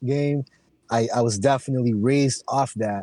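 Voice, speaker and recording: At a moderate pace, a man with an American accent uses a normal speaking voice at medium pitch with fairly even intonation, the sound dry and close with no echo. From Philippines, then Oxnard, California from age 10. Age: 30s. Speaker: rapper. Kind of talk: casual chat.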